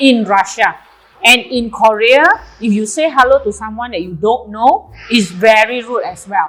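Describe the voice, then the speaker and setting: Music plays in the background as a woman speaks with an Indonesian accent. Her pitch is fairly high with ordinary variation, at a moderate pace. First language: Javanese. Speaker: nutrition club owner. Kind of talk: casual chat. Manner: hesitant.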